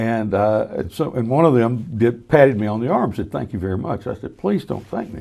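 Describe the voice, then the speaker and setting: A man's dark, mellow voice in a Southern US accent, at a moderate pace with ordinary pitch variation. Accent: Southern US (Georgia). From US South (Georgia). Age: 70s. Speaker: former state legislator. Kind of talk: casual chat.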